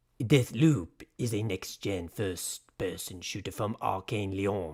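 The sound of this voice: Putting on a gruff character voice in a French accent, a man speaks fairly slowly at a fairly low pitch.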